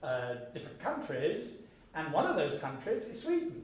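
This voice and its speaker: A man with an English accent, fairly high in pitch, at a moderate pace, with noticeable background noise and audible room echo. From Britain. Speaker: think-tank program officer and author. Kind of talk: seminar lecture.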